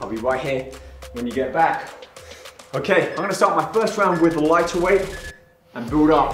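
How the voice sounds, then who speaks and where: A man speaks with ordinary pitch variation. Audible room echo and faint background music accompany him. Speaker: fitness instructor. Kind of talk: workout instruction.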